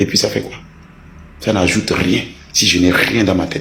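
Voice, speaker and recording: A man with a very deep, low voice speaks at a moderate pace, with audible room echo and noticeable background noise. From Togo. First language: a Togolese language (speaking French). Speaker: online commentator. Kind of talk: heated rant. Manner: animated.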